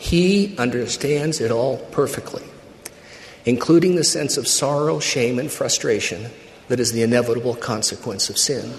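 A man talks at a moderate pace and medium pitch. His intonation is lively, with noticeable background noise behind him. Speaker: church speaker. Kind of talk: sermon. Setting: conference pulpit.

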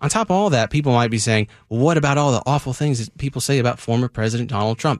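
A man at medium pitch talks very fast with hardly any pauses, in a dry, close sound with no echo. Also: ordinary pitch variation. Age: 30s. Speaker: radio host. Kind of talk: casual chat. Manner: animated.

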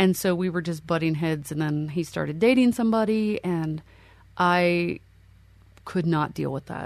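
A woman with a Mid-Atlantic US accent, very deep and low in pitch, at a moderate pace against a quiet background. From Pennsylvania, Lancaster County. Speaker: army veteran and professor. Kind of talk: interview storytelling.

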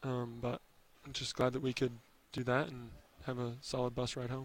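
A man with an American accent talks at a medium pitch in a monotone, flat way, leaving long, frequent pauses. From US Northwest, Oregon/Idaho area. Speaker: college basketball player. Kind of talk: postgame interview.

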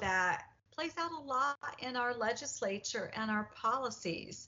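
A woman with an American accent has a normal speaking voice and lively intonation. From Indiana. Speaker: women's advocacy leader. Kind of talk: radio panel discussion.

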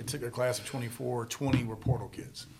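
A man speaks with an American accent at a medium pitch. His intonation is monotone and flat, and audible room echo surrounds it. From Charlotte, North Carolina. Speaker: football coach. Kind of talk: casual interview.

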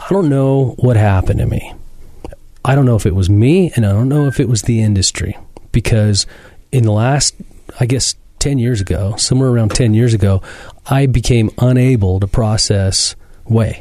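At a moderate pace and medium pitch, a man speaks in a dark, mellow, somewhat breathy voice with ordinary pitch variation and long, frequent pauses. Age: 40s. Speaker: fitness podcast host and gym owner. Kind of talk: casual interview. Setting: studio.

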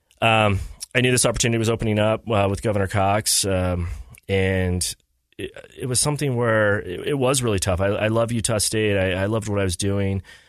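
Against a quiet background, a man with an American accent and a plain, everyday voice talks at a fairly quick pace and a fairly low pitch. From southeastern Idaho. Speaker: government policy advisor. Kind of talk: casual interview.

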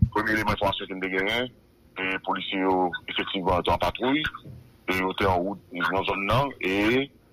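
This man talks at a moderate pace with fairly low pitch and ordinary pitch variation. Long pauses come often. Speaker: police spokesperson. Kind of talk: phone interview. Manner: halting, many hesitations.

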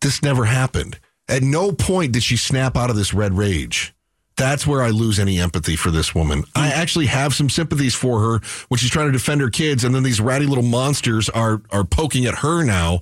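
A man speaks at a medium pitch and a fairly quick pace with lively intonation. His voice is somewhat breathy, and its loudness stays very even. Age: 40s. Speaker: radio talk show host. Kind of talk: talk radio discussion with callers.

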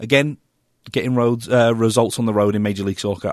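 A man with an American accent speaks at a fairly low pitch with fairly even intonation, his voice dry and close with no echo against a quiet background. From England. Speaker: soccer analyst. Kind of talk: sports talk show.

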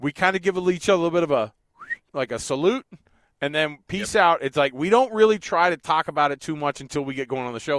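With lively intonation and an energetic tone, a man speaks at a fairly high pitch. The recording is very clean, with a silent background and a dry, close sound with no echo. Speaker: radio sports host. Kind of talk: radio sports show banter. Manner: casual, energetic.

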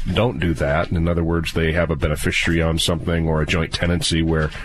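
A man's voice amid noticeable background noise. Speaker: estate planning attorney. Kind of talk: legal advice radio show. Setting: studio.

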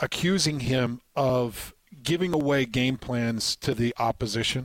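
A man's plain, everyday voice at a medium pitch with ordinary pitch variation, in a very clean recording with a silent background and a dry, close sound with no echo. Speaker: radio host. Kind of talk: casual sports talk radio. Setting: radio studio.

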